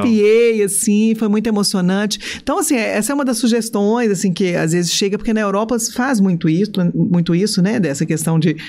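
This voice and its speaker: Fairly quick in pace, a woman speaks with a medium pitch. Her loudness stays very even. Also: ordinary pitch variation. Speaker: stadium announcer. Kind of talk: podcast interview answer. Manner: enthusiastic, chatty.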